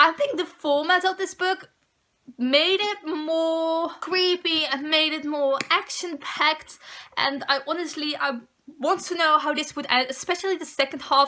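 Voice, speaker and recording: A woman talks in a raised, projected voice with a high pitch. Her tone is bright and sharp. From Netherlands. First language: Dutch. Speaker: book vlogger. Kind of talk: casual chat.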